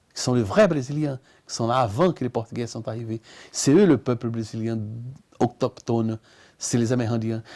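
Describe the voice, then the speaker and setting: The sound is dry and close, with no echo, in a very clean recording with a silent background. The speaker is a man. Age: 60s. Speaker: artist. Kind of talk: interview. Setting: at his home.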